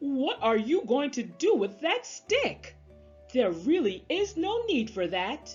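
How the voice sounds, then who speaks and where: A woman's put-on character voice at a high pitch and a fairly slow pace, with faint music in the background. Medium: read story. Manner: polite, earnest.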